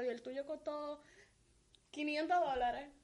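The speaker is a woman with a high pitch. She uses ordinary pitch variation. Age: young. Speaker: podcast co-host. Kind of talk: casual chat.

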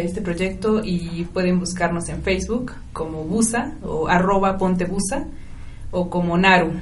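A woman talks fairly slowly, her intonation fairly even, with audible room echo and noticeable background noise in the recording. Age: 20s. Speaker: startup founder. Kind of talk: radio interview.

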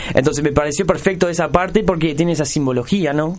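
Uruguayan accent with ordinary pitch variation, audible room echo and noticeable background noise. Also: man. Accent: Rioplatense Spanish (Uruguayan). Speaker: radio show host. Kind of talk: casual chat.

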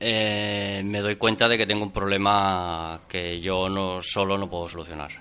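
A man's fairly low, bright and sharp voice in a flat monotone, at a fairly slow pace with hardly any pauses. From Catalonia, Spain (Barcelona). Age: 40s. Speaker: carpenter, interview guest. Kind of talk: interview. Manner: halting, many fillers and repetitions.

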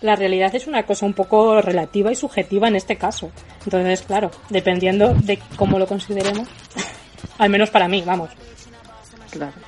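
A woman of medium pitch talks at a fairly quick pace with fairly even intonation and long, frequent pauses, amid noticeable background noise. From Spain, Toledo province. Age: 20s. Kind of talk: casual chat.

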